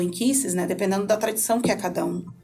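Over music in the background and with audible room echo, a woman speaks very fast at a medium pitch with fairly even intonation. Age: 30s. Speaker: education specialist. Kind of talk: podcast interview. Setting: studio.

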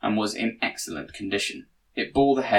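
Someone is reading aloud in a natural voice, pitch varying in an ordinary way.

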